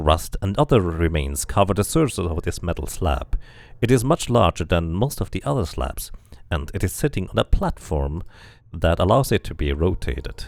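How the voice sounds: A man talks at a moderate pace with a low pitch and vocal fry. His pitch makes big swings. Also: slightly mellow tone, very clean recording, silent background.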